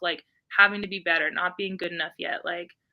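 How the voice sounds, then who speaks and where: A woman speaks at a fairly quick pace in an ordinary speaking voice, with medium pitch and fairly even intonation. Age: 30s. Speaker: wrestler. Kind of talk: interview. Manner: casual, filler-heavy.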